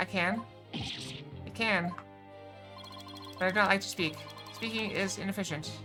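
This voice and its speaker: Clear music plays behind a woman doing a put-on, robotic character voice at medium pitch and a moderate pace. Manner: flat, terse.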